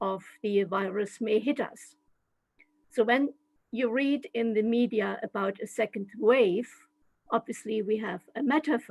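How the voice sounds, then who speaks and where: A woman with a German accent speaks at a fairly high pitch and fairly slow pace. Her pitch variation is ordinary, and the sound is dry and close with no echo. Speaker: translation studies professor. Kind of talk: lecture. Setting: video call.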